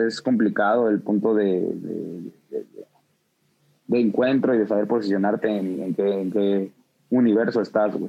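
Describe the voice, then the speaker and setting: A man talks in a Mexico City accent at a fairly slow pace. His fairly low voice keeps a fairly even intonation. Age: 20s. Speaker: music producer. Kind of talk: casual chat. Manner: halting, many repetitions.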